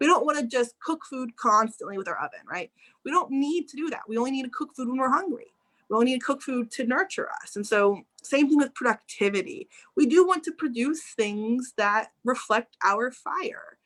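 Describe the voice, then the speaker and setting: Her loudness swinging widely, a woman speaks at a high pitch with lively intonation. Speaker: astrologer. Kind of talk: casual chat. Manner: fast.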